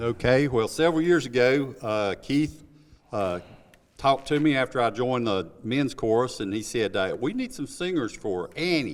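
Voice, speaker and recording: This man has an American accent and a medium pitch. His pitch variation is ordinary. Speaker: community theatre actor. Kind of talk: interview.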